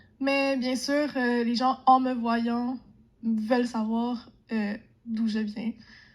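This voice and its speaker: A high-pitched woman's voice, monotone and flat, at a very slow pace. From Quebec. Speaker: interviewee. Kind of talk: interview testimony.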